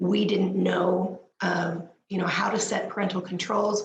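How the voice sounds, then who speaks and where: Audible room echo surrounds a woman speaking at a medium pitch. Her pace is very slow. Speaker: parenting speaker. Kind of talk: panel talk. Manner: halting, many fillers.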